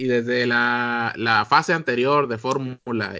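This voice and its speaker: A man with a Mexican accent speaks at a medium pitch. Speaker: podcast host. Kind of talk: casual chat.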